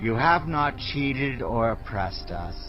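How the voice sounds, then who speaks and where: With clear background noise behind him, a man does a put-on character voice at a moderate pace and medium pitch. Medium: audio drama. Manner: earnest, affirming.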